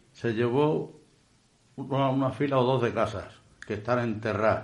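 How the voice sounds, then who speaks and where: The voice moves at a fairly slow pace with ordinary pitch variation, and audible room echo is present. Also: man. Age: 70s. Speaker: bar owner. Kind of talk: radio interview. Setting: radio studio.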